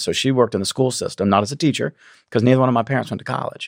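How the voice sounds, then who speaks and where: The recording is very clean, with a silent background. A man speaks at medium pitch. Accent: American. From South Carolina, near Charleston. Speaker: state legislator and business founder. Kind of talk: interview. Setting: studio.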